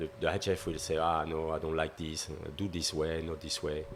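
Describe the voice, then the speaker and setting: With a French accent, a man talks at a fairly quick pace in a very deep, low pitch. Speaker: pastry chef. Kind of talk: podcast interview. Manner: halting.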